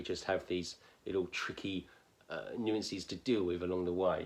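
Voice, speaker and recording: In a southern English accent, this voice keeps a moderate pace and a monotone, flat intonation, recorded very cleanly against a silent background. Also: man. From southern England. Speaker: phonics teacher. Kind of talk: tutorial. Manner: hesitant, many fillers.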